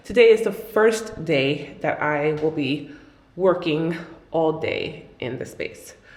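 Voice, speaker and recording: Over noticeable background noise and audible room echo, a woman with a fairly low voice speaks very slowly, her intonation lively. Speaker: artist and vlogger. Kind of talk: casual vlog. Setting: new office studio. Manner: soft-spoken. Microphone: echo in the room.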